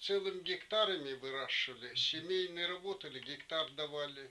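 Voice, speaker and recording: A man talks with a high pitch and a bright, sharp tone. His pitch varies in an ordinary way. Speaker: wartime home-front witness. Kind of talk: interview answer.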